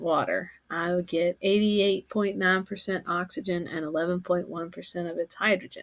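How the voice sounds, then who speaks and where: A woman with a Kentucky accent speaks at a moderate pace and fairly low pitch. Her intonation stays fairly even. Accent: Southern US (Kentucky). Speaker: teacher. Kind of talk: lecture. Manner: casual, conversational.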